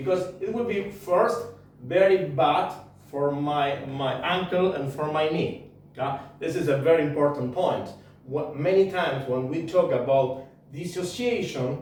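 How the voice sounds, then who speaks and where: In a non-native accent, a man speaks fairly slowly amid noticeable background noise and audible room echo. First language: not English. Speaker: tango teacher. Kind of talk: tutorial. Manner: halting.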